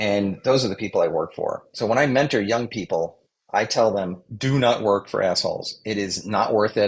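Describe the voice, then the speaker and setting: A man with a plain, everyday voice, fairly low in pitch, at a moderate pace with ordinary pitch variation. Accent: American. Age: 60s. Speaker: communications adviser. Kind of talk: interview.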